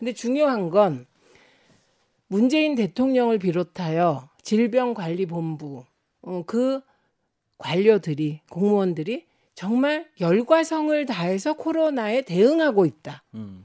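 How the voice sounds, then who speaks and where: On a very clean recording with a silent background, a woman's dark, mellow voice of medium pitch moves very slowly through very wide pitch swings. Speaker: former lawmaker and author. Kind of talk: political discussion.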